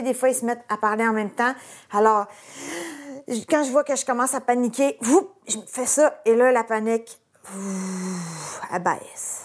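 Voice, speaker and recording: With a Quebec accent, a woman speaks at a fairly high pitch with ordinary variation. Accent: Québécois French. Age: 40s. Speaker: graphic designer and TikTok creator. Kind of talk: casual interview. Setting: in a car.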